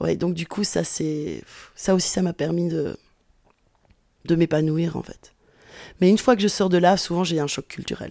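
A woman with a dark, mellow tone speaks at a fairly slow pace, leaving long, frequent pauses. The recording is very clean, with a silent background. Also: fairly even intonation. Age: 40s. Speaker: sociology professor. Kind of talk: interview testimony.

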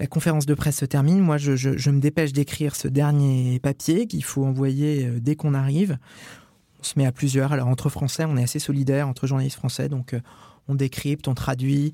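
At a fairly quick pace, a man with a normal speaking voice talks at a fairly high pitch with fairly even intonation. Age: 30s. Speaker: journalist, Vatican correspondent. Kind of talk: first-person reportage narration.

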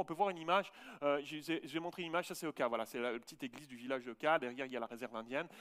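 Very fast speech from a man, with a dry, close sound and no echo. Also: very clean recording, silent background. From Switzerland. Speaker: pastor. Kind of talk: sermon. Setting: church.

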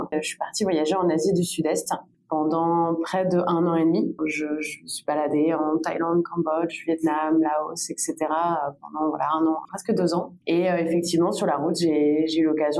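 Over noticeable background noise, a woman speaks fairly slowly with a fairly low pitch and monotone, flat intonation. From France, Bordeaux. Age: 20s. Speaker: entrepreneur. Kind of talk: interview.

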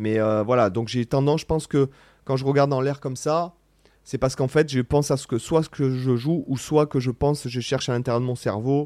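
A man talks at a fairly quick pace with a medium pitch, fairly even intonation and a dark, mellow tone. The recording is very clean, with a silent background. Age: 40s. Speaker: guitarist and online content creator. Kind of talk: casual Q&A vlog. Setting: studio. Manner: hesitant, many fillers.

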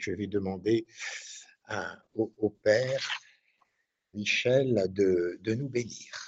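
Speaking at a very slow pace, a man keeps a fairly even intonation and leaves long, frequent pauses. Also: fairly low pitch for a man. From northern France, Cambrai. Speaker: priest, radio host. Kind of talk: religious radio show. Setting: at the shrine. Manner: halting, many repetitions.

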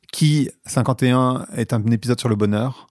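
Recorded very cleanly against a silent background, a man with a medium-pitched voice and ordinary pitch variation is heard dry and close, with no echo. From France, working-class housing estate. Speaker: podcast host and marketer, guest. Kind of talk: casual interview conversation. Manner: hesitant, many fillers and repetitions.

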